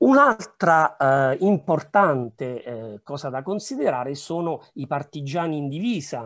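A man speaks at a fairly high pitch and a fairly slow pace, with lively intonation. His loudness swings widely against a quiet background. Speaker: historian. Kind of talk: conference presentation. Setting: video call. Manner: halting. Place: home room. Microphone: webcam.

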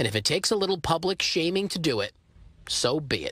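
This man talks at a fairly quick pace in a fairly high pitch. His tone is fairly bright, with big pitch swings.

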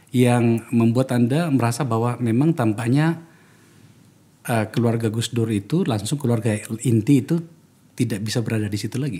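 A man's dark, mellow tone comes at a moderate pace with ordinary pitch variation. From Indonesia. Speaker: political podcast host, former politician. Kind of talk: podcast interview. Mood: calm, probing. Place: studio. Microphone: studio mic.

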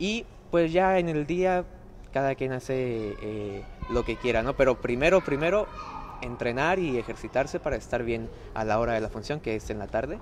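Noticeable background noise sits behind a man at medium pitch. He speaks at a moderate pace with lively intonation. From Mexico, Reynosa, Tamaulipas. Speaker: circus performer. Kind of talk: live interview. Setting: inside a circus tent.

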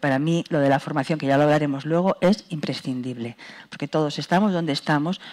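Her pitch very deep and low, a woman speaks with ordinary pitch variation over a quiet background. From Spain, Madrid. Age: 60s. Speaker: dance company director. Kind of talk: panel talk. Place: hall. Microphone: headset.

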